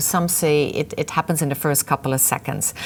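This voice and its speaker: A woman speaks with a Dutch accent in a very deep, low pitch. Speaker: webinar presenter, trainer. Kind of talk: lecture.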